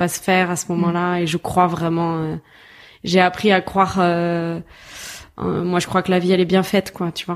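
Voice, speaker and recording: A woman talks at a moderate pace with a fairly low pitch and monotone, flat intonation. The recording is very clean, with a silent background. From southern France, Toulouse. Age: 20s. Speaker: filmmaker and actress. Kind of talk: casual chat.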